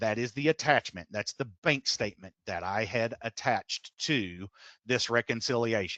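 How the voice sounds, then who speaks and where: In a Texas accent, a man speaks over a quiet background with a dry, close sound and no echo. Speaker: software implementation consultant. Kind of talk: software tutorial webinar. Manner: fast.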